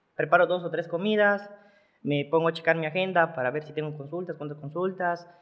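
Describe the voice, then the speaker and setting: At a fairly quick pace, a man with a high pitch speaks in fairly even intonation. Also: big swings in loudness. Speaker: bodybuilder and nutritionist. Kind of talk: casual interview. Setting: studio.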